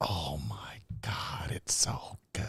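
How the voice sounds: A man is whispering in a put-on character voice.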